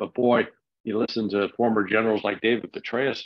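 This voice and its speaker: At an even, average speed, an unremarkable speaking voice is heard. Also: man. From United States. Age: 60s. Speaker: political commentator. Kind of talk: interview.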